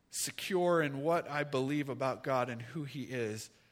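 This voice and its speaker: A man speaks in a fairly high pitch with ordinary pitch variation and a bright, sharp tone. Audible room echo surrounds his voice. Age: 40s. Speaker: pastor. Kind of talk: sermon. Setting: church.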